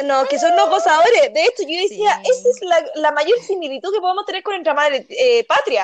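Delivered at a fairly quick pace in a Chilean accent, the voice has an animated tone and very wide pitch swings. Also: woman, extremely high pitch for a woman. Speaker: podcast co-host. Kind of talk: casual chat.

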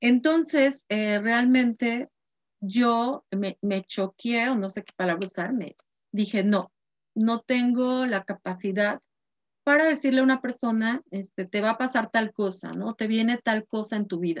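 A woman talks at a fairly slow pace in an ordinary speaking voice, with ordinary pitch variation. The sound is dry and close, with no echo. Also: fairly high pitch for a woman. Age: 50s. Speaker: spiritual guide and card reader. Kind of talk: course introduction talk.

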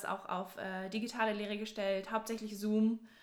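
Against noticeable background noise, a woman talks in a fairly high pitch with monotone, flat intonation. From southwest Germany, near Stuttgart. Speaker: university student. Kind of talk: casual chat.

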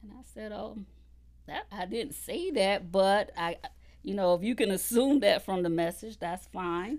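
A woman with a Southern US accent, fairly slow, with big swings in loudness. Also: medium pitch for a woman, ordinary pitch variation. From South Carolina (Conway). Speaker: political candidate. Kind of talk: interview. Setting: studio.

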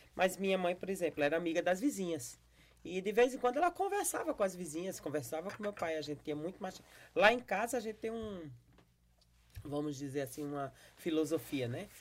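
Fairly quick, lively woman's delivery in a normal speaking voice at fairly low pitch. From Brazil, Paraíba (Campina Grande). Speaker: pastor and podcast host. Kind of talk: casual interview.

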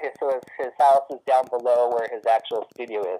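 A man with an American accent speaks at a moderate pace and medium pitch. He has a plain, everyday voice. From US West Coast, Hemet, California. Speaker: guitar builder. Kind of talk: casual interview.

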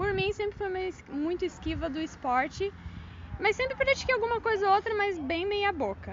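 Over noticeable background noise, a woman with an extremely high pitch speaks with lively intonation. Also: moderate pace. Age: 30s. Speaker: amateur runner, sales worker. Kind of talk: casual interview.

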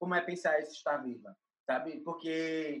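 A woman speaks at a fairly slow pace in a fairly low pitch. Hers is a plain, everyday voice. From Brazil, Recife (Pernambuco). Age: 20s. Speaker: curator and artist. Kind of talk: interview.

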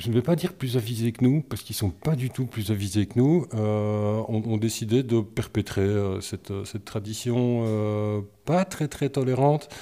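Speaking with hardly any pauses, a man has a dark, mellow tone at a medium pitch. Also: ordinary pitch variation, moderate pace. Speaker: podcast co-host. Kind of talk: casual chat.

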